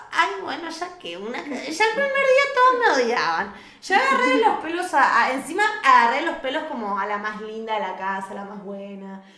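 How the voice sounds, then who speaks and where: A woman's raised, projected voice with an animated tone, very wide pitch swings and big swings in loudness, at a moderate pace amid noticeable background noise. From Argentina. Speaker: reality TV contestant; podcast guest. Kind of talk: casual interview. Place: studio.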